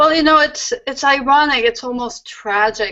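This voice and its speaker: This is a woman speaking with a French accent. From France, Paris. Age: 50s. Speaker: comics editor and publisher. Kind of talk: interview.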